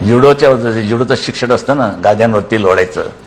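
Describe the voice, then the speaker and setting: Noticeable noise sits in the background. The pitch varies in an ordinary way. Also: man. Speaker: political leader giving interview. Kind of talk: interview answer, recalling childhood. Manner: blunt, sarcastic, emphatic.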